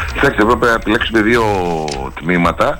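This man's voice rises and falls with ordinary pitch variation. Background noise is noticeable behind him. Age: 50s. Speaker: local public figure interviewee. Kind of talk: radio interview. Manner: outspoken, emphatic.

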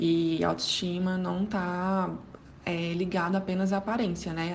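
Audible room echo surrounds a woman's voice. It is somewhat breathy and fairly low in pitch. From Goiânia, Brazil. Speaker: psychology graduate. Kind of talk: recorded advice commentary.

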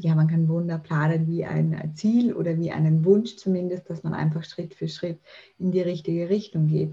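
A woman speaks with a fairly low pitch and fairly even intonation. Her tone is dark, mellow and somewhat breathy. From Austria. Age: 30s. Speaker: mental trainer and author. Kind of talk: podcast interview.

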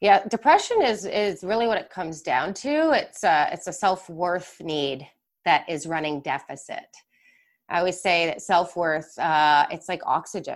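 With a Canadian accent and an ordinary speaking voice, a woman of fairly low pitch talks at a moderate pace with lively intonation. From Canada, Mississauga, Ontario. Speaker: mindset and leadership coach. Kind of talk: live webinar interview. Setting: live online webinar.

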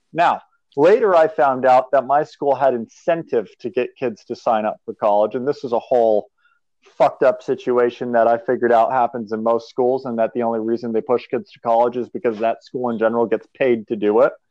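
This man has a normal speaking voice with an American accent, a medium pitch and ordinary pitch variation. He talks at a fairly quick pace. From New Hampshire, US. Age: 20s. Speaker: startup business owner. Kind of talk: casual interview.

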